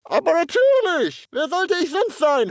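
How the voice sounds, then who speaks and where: In a cartoonish character voice, the speaker uses an extremely high pitch at a moderate pace. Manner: stilted, formal.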